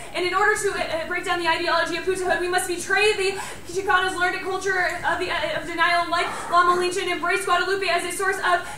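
A woman speaks in a raised, projected voice at a very fast pace, her intonation monotone and flat. Audible room echo and light background noise surround her. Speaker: college debater. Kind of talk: fast competitive debate speech. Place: classroom. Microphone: camera far.

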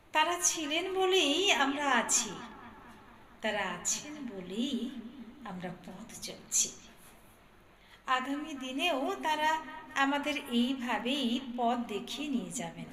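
Noticeable noise can be heard in the background. The speaker's intonation stays lively. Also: woman, high pitch for a woman. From India. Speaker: anchor. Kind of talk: cultural event anchoring.

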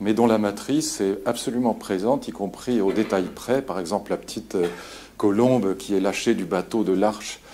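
A man's normal speaking voice, fairly low in pitch, with fairly even intonation, a moderate pace and light background noise. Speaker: lecturer. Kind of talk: lecture. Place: hall.

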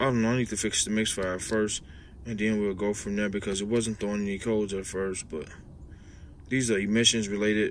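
Recorded dry with no echo over light background noise, a man with a fairly low pitch speaks at a moderate pace with fairly even intonation. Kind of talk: repair tutorial commentary. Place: garage. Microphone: phone near.

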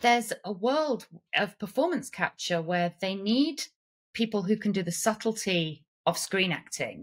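A woman with an English accent talks at a fairly slow pace, somewhat breathy, with lively intonation over a quiet background. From England. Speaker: actress, puppeteer, performance capture artist; actress. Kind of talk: podcast interview answer. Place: home room.

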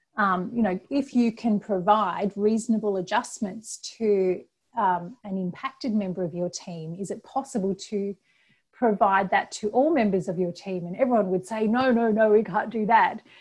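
A woman's somewhat breathy voice with ordinary pitch variation. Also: moderate pace, quiet background. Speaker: presenter. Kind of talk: webinar presentation. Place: home room. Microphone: earbuds.

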